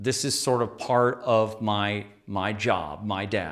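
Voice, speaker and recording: This man's voice sits fairly low, with ordinary pitch variation. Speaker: shadow work teacher. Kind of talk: lecture. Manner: halting, many fillers.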